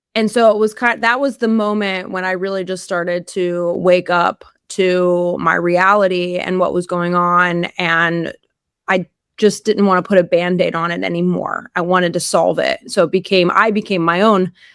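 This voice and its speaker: A woman speaks in a normal speaking voice at a moderate pace, with a medium pitch and fairly even intonation. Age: 40s. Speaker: carnivore diet influencer and powerlifter. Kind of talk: interview testimony. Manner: casual with many fillers.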